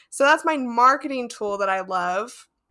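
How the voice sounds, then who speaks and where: Over a very clean recording with a silent background, a woman with an American accent speaks in a bright, sharp tone. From Las Vegas, US. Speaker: podcast agency owner. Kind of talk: casual interview.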